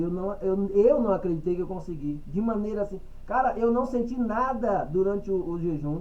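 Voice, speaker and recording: Against noticeable background noise and audible room echo, a man speaks at a high pitch with ordinary pitch variation. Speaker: church group member. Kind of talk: group Bible study discussion. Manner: energetic, repetitive stammering.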